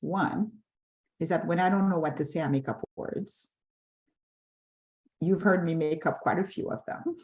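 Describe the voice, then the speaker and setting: A woman's somewhat breathy, fairly low voice at a moderate pace, with ordinary pitch variation and long, frequent pauses. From Haiti. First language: French and Haitian Creole. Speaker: nonprofit CEO. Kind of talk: panel discussion.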